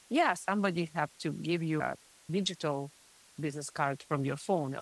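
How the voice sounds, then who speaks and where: A woman with a Russian accent and a very deep, low pitch speaks at a fairly quick pace with ordinary pitch variation, in a very clean recording with a silent background and a dry, close sound with no echo. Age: middle-aged. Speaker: print shop co-owner. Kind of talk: podcast interview.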